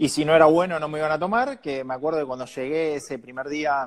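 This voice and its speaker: A man with an unremarkable speaking voice talks at a moderate pace and fairly high pitch in a very clean recording with a silent background. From Argentina, San Nicolás de los Arroyos (Buenos Aires province). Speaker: journalist and TV presenter. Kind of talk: interview conversation.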